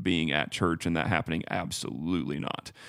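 A man with a calm tone and vocal fry at a moderate pace, on a very clean recording with a silent background. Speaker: church staff member, podcast co-host. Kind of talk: casual theological discussion.

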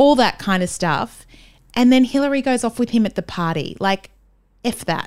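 A woman with an Australian accent, fairly high-pitched and animated, with lively intonation at a moderate pace on a very clean recording with a silent background. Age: 40s. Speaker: playwright and podcaster. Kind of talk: casual chat.

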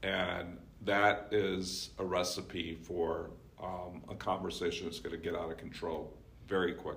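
With audible room echo, a man speaks at a very deep, low pitch and a fairly slow pace in a monotone, flat way. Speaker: communication professor. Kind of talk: casual book discussion. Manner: projects less strongly.

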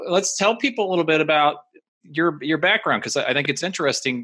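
A man with an American accent talks at a fairly quick pace, his fairly high voice bright and sharp in tone. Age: 50s. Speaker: podcast host and guitarist. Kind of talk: casual interview.

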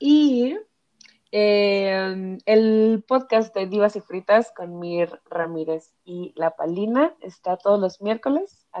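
With a Mexico City accent, a woman talks in a medium pitch with lively intonation. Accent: Mexico City Spanish (chilango). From Mexico City area, Ecatepec. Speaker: feminist activist. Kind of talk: podcast interview.

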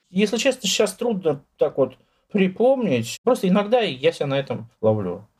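A man talks at a moderate pace in a high voice. His pitch swings very widely. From Moscow, Russia. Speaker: poet and writer. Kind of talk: interview.

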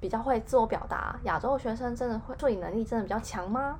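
A woman talks at a fairly quick pace, her fairly high pitch moving with ordinary variation. It is a plain, everyday voice. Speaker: podcast co-host. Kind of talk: casual chat.

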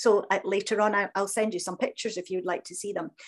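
A woman with a Scottish accent on a very clean recording with a silent background. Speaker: crystal healing practitioner. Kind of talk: interview.

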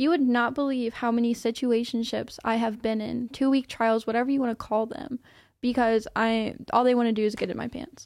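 A woman's normal speaking voice, fairly high and fairly quick, with fairly even intonation, on a very clean recording with a silent background. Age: 20s. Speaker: podcast guest, former car detailer. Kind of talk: casual interview.

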